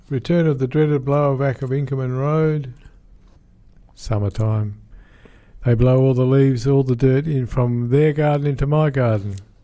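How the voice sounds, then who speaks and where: A man with an Australian accent has a dark, mellow tone. He leaves long, frequent pauses. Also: medium pitch for a man, moderate pace. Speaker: radio host and panel operator. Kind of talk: casual radio chat. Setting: studio.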